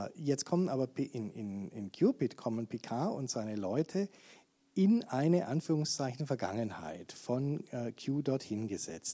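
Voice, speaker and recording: A man at medium pitch speaks with very wide pitch swings and a dark, mellow tone. The recording is very clean, with a silent background. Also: fairly slow pace. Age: 60s. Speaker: event moderator. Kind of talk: moderated discussion. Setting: public library talk with audience.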